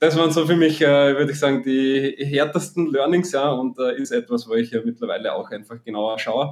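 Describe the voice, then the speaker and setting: Speaking at a fairly quick pace with hardly any pauses, a man with a slight Austrian accent uses a fairly high pitch and ordinary pitch variation. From Austria, Graz area. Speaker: app marketing entrepreneur. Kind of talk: interview. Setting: podcast studio. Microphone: echoey, doubled audio in first minutes.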